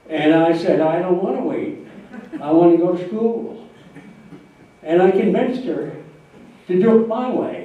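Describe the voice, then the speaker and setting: The speaker has an American accent and lively intonation, moving at a fairly slow pace with long, frequent pauses. Noticeable background noise and audible room echo are present. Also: man, high pitch for a man. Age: 90s. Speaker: retired entrepreneur and lawyer giving a life-story talk. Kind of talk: speech to an audience. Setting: talk to a live audience. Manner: halting, many fillers.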